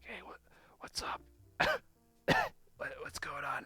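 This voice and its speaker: In a put-on character voice, a man whispers at a fairly slow pace, sounding raspy and strained. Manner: whispering.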